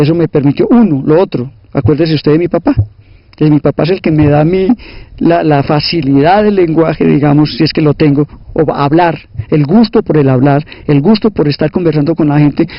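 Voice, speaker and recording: A man speaks fairly quickly at a fairly high pitch. His loudness stays very even, with ordinary pitch variation. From Colombia, Caldas (Salamina). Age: 60s. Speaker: sociologist and teacher. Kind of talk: interview, life story. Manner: hesitant repetitions.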